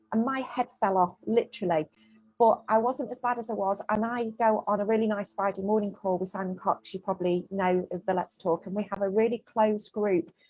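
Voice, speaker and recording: At a fairly quick pace, a woman of medium pitch speaks with a Mancunian accent. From Manchester, northern England. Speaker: small business owner. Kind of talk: casual interview chat. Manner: animated.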